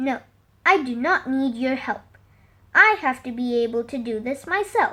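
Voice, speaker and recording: A woman uses a put-on character voice, pitched high, with lively intonation at a moderate pace. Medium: read story.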